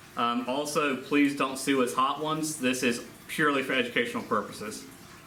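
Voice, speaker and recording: Noticeable background noise and audible room echo accompany a man speaking at a moderate pace. His medium-pitched voice shows ordinary pitch variation. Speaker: history teacher. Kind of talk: recorded class lesson. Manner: loud.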